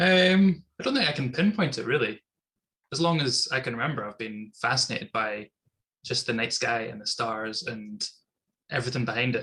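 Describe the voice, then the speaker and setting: At a moderate pace, a man with a medium pitch speaks in a bright, sharp tone with lively intonation. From Scotland, Inverness. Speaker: astronomy club member. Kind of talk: casual interview. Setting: video call.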